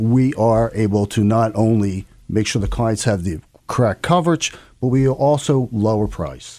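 On a very clean recording with a silent background, a man speaks in a plain, everyday voice. His pitch is medium, his pace moderate and his intonation lively. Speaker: insurance agent. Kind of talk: radio interview, business talk.

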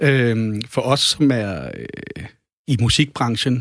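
A man's pitch moves in a typical way on a very clean recording where the background is completely silent. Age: 40s. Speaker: record label owner and drummer. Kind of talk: casual chat. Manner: halting.

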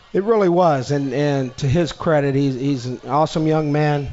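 At a moderate pace and with fairly even intonation, the speaker has a plain, everyday voice. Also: man. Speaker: special teams coach. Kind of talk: radio interview.

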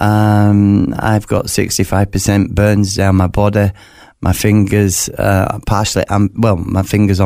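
In a Yorkshire accent, a man speaks at a fairly low pitch with a dark, mellow tone on a very clean recording with a silent background. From West Yorkshire, northern England. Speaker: author, burn survivor telling his faith story. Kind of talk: interview testimony. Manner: halting, many fillers and repetitions.

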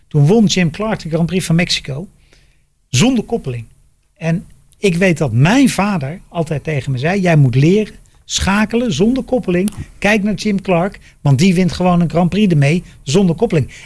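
A man's high voice at a moderate pace. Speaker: podcast host, former racing driver. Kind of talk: casual chat. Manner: halting.

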